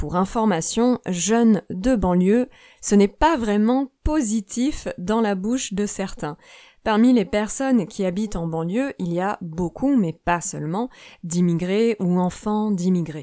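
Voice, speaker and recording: Very slow and lively in intonation, a woman's medium-pitched voice has a dark, mellow tone, captured dry and close with no echo on a very clean recording with a silent background. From Paris suburbs, France. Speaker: French teacher podcaster. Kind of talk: scripted language lesson. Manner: clear, teacher-like.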